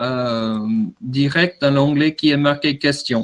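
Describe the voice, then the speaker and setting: Fairly high in pitch, a man with an American accent speaks at a fairly slow pace with fairly even intonation. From USA. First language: English (speaking French). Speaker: drone product manager. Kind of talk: webinar presentation. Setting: online webinar. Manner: halting, many fillers and repetitions.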